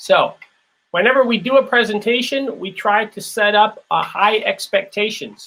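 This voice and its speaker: Raising and projecting his voice, a man with an American accent speaks at a high pitch in a bright, sharp tone. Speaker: business speaker, former corporate leader. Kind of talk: lecture.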